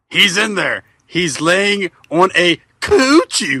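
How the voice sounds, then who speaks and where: Speaking very slowly, a man uses a high-pitched voice. The voice is a put-on character one. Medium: read story.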